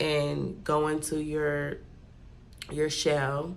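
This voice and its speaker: A woman with an American accent has a very deep, low pitch. Audible room echo surrounds her voice. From California, Bay Area. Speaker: vlogger. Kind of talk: casual vlog talk. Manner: talking low; chatty.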